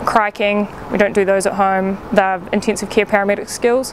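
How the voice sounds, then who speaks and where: A woman speaks at a medium pitch and a moderate pace with a New Zealand accent. There is noticeable background noise. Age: 20s. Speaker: paramedic. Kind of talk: casual talk to camera. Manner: slightly awkward, hesitant.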